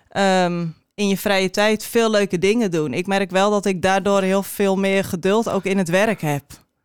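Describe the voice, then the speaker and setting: In a normal speaking voice, the speaker goes at a fairly slow pace with hardly any pauses, fairly even intonation and very even loudness. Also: woman, medium pitch for a woman. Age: 30s. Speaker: cheese shop co-owner. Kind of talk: casual interview.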